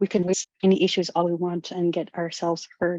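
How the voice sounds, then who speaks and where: A woman with a Canadian Arctic accent speaks at a moderate pace in a fairly low, dark, mellow voice with monotone, flat intonation. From Nunavut, Canadian Arctic. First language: Inuktitut. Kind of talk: webinar talk. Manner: halting.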